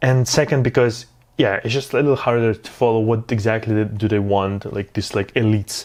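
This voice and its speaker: With a non-native accent, a man of medium pitch talks at a fairly quick pace. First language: not English. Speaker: film review youtuber. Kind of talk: casual video review. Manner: halting, many fillers; enthusiastic.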